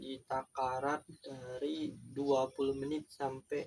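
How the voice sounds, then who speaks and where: A man is speaking. His voice is fairly high in pitch. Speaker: beginner YouTuber. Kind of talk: casual vlog monologue.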